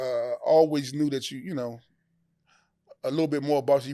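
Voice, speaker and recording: This man's voice has a dark, mellow tone and a fairly high pitch, moving at a fairly quick pace with fairly even intonation over a very clean recording and silent background. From Washington DC. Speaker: interview show host. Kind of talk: casual interview chat. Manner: halting, repetitive.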